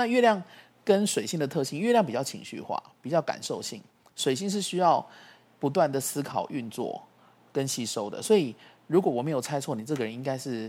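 The recording is very clean, with a silent background. A man with a fairly high pitch talks at a fairly quick pace, his pitch swinging very widely. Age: 40s. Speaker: astrology teacher. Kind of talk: casual explanatory chat.

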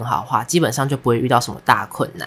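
Words come out at a very fast clip. There is noticeable noise in the background. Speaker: podcast co-host, university student. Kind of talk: casual chat.

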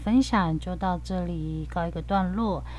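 In a Taiwanese accent, a woman reads at a fairly slow pace in a monotone, flat way. Room echo can be heard. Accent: Taiwanese Mandarin. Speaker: podcast host. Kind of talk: casual podcast chat with language teaching.

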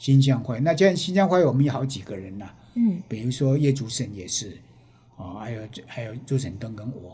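A man of medium pitch, somewhat breathy with a dark, mellow tone, speaks with very wide pitch swings amid audible room echo. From Taiwan, Penghu. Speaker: artist and retired teacher. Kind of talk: interview.

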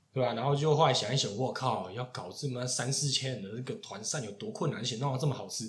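A man speaks at a very fast pace with hardly any pauses, his medium pitch carried by lively intonation. Audible room echo and noticeable background noise fill the recording. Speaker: podcast host, chef. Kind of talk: casual chat.

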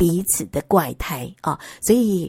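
A woman with a Taiwanese accent and a dark, mellow tone speaks at a fairly slow pace on a very clean recording with a silent background. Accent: Taiwanese Mandarin. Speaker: podcast host. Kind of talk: casual monologue. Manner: chatty, many fillers.

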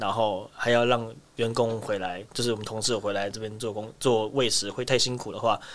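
A man speaks at a moderate pace and medium pitch in a plain, everyday voice. The recording is very clean, with a silent background. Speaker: wildlife keeper. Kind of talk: interview.

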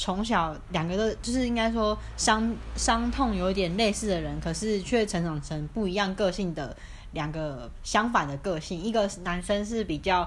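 Vocal fry runs through a woman's medium-pitched voice. She keeps a moderate pace with ordinary pitch variation. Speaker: podcast co-host. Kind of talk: casual chat. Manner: animated.

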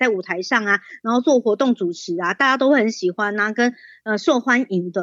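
A woman's lively intonation, dry and close with no echo, against a quiet background. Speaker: party secretary, former radio host, activist. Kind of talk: casual chat, podcast interview.

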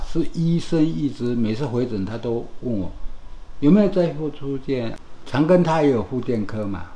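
Against audible room echo, a man with a dark, mellow, somewhat breathy tone speaks at medium pitch and a moderate pace, his intonation lively. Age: 60s. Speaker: burn survivor. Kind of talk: casual interview. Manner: halting.

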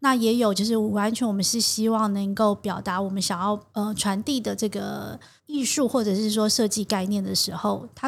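On a very clean recording with a silent background, a woman speaks at medium pitch in a somewhat breathy voice. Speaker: fashion designer. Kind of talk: interview. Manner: gentle but assured; slow.

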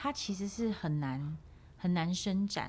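A woman's dark, mellow tone comes through somewhat breathy, with lively intonation. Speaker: voice coach. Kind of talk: interview conversation.

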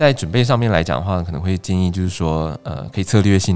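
His pace is very fast. This man's intonation sounds lively. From Taiwan, Changhua (Yuanlin). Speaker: trainee judicial officer. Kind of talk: interview.

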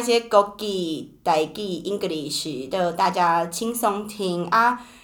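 A woman talks at a very slow pace, yet her intonation is lively. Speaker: podcast host. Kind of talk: casual chat.

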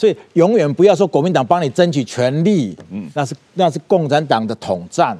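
A man with a fairly high pitch and a dark, mellow tone uses vocal fry and very wide pitch swings, with big swings in loudness, a moderate pace and a dry, close sound with no echo. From Taiwan. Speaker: businessman. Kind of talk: interview. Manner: halting, many fillers and repetitions.

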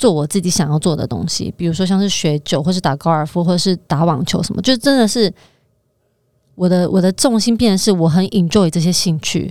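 A woman with a normal speaking voice talks at a fairly low pitch. Her pace is fairly quick, with ordinary pitch variation. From Taiwan. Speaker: finance professional, former model. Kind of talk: casual chat.

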